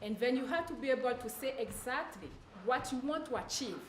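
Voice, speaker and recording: Speaking with a strong French accent, a woman uses a high pitch. There is noticeable background noise and audible room echo. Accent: heavy French. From Ivory Coast. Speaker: public speaking student. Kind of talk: class presentation.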